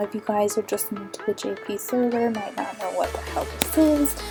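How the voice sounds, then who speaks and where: Music plays behind the speaker. She is a woman with a medium-pitched voice. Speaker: gaming YouTuber. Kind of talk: game walkthrough narration.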